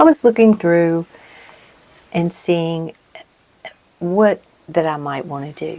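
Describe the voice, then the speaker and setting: Soft-spoken, a woman talks at a very slow pace with long, frequent pauses and big swings in loudness. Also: ordinary pitch variation. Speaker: craft video creator. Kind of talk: casual crafting tutorial chat. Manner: halting. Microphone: cheap foam windscreen on mic.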